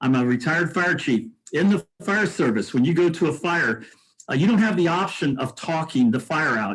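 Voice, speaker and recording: In an American accent, a man speaks at a high pitch and a moderate pace with lively intonation. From US Midwest, Indianapolis. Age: 70s. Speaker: mayoral candidate, retired fire chief. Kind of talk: interview. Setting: video call.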